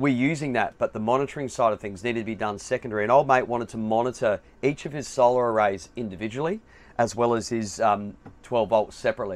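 Speech comes very fast from a man. The rise and fall of his pitch is ordinary. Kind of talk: product walkthrough explanation. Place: home room. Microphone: headset.

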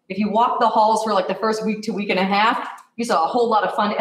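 There is audible room echo as a woman speaks. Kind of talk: presentation to committee. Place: hall. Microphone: camera far.

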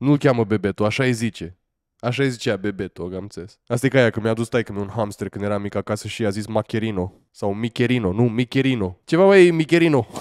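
A man talks at a very fast pace in an animated tone with ordinary pitch variation. The sound is dry with no echo, and the background is quiet. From Romania. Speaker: streamer. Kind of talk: live reaction stream. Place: home room. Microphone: studio mic.

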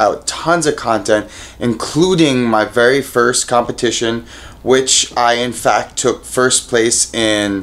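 A man's speech unfolds at a fairly slow pace. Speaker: fitness vlogger. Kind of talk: casual vlog chat. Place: home room. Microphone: phone near.

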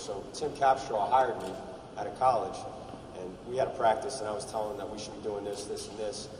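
A man with an American accent talks at a very fast pace and a fairly low pitch, with ordinary pitch variation. Noticeable background noise runs under his voice. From New York City, Staten Island; New York City. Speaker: college basketball coach. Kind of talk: press conference remarks. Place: hall. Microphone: podium.

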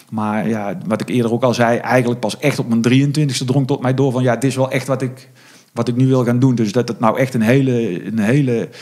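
A man talks at a fairly quick pace. His pitch sits in the medium range, with ordinary variation. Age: 40s. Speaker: horse event organizer. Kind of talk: interview. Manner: halting.

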